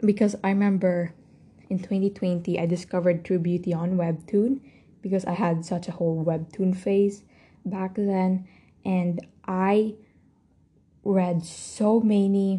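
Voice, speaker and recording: A woman speaks at a fairly slow pace, leaving long, frequent pauses. Her voice is somewhat breathy, with a dark, mellow tone. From Philippines. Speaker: podcast host. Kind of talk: casual solo monologue. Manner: animated.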